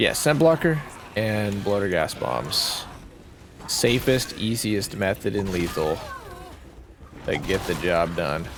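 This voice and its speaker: A man with a fairly low pitch talks at a very slow pace over noticeable background noise. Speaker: gaming streamer. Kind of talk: gameplay commentary. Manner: casual, conversational.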